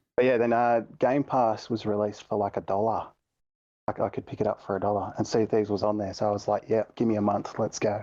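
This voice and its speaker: A man with an Australian accent talks at a very fast pace in a monotone, flat intonation. His fairly low pitch carries a dark, mellow tone over a quiet background. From Australia, east coast. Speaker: gaming community member. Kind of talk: podcast interview. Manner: casual, hesitant with repetitions.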